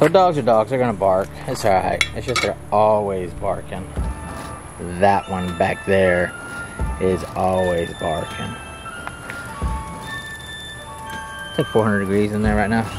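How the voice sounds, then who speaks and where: A man with a fairly low pitch talks at a fairly slow pace with long, frequent pauses and ordinary pitch variation. The sound is dry with no echo, and clear music plays in the background. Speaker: home cook vlogger. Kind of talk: casual vlog chat. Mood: mildly annoyed by dogs. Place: garden. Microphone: phone near.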